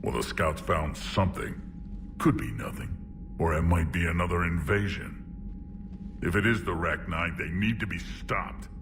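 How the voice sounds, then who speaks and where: A man uses a put-on character voice with a very deep, low pitch at a moderate pace. He leaves long, frequent pauses over loud background noise. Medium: video game. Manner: gruff, proud.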